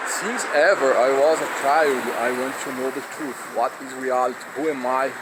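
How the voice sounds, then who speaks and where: At a moderate pace, a man with a Brazilian Portuguese accent talks at medium pitch with fairly even intonation, amid noticeable background noise. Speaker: philosophy video creator. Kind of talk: personal monologue. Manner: halting.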